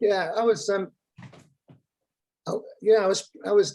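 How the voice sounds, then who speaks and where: A man is speaking here with a northern English accent. His pace is moderate. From northern England, Lancashire near Blackpool. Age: old. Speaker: former marketing executive. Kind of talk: interview. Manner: hesitant, many fillers.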